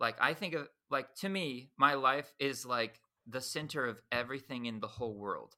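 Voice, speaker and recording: A man's bright, sharp tone sits at a medium pitch, with ordinary pitch variation and a moderate pace. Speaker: podcast host. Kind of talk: casual interview conversation. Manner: talkative, filler words, informal.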